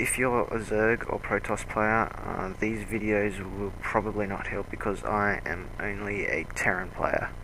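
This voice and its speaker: Amid audible room echo, a man speaks at a fairly slow pace with monotone, flat intonation. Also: fairly low pitch for a man, hardly any pauses. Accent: Australian. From Australia. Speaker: video game commentator. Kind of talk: game commentary.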